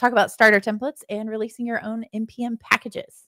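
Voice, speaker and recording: A woman's very fast, fairly high-pitched voice with an American accent, a bright, sharp tone and a dry, close sound with no echo. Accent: slight Southern, comes out at times. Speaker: podcast host, web developer. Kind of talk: casual chat.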